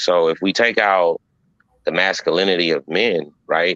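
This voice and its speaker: A man's very deep, low voice has a bright, sharp tone and a dry, close sound with no echo. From Compton, California. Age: 30s. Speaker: podcast host. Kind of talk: casual chat.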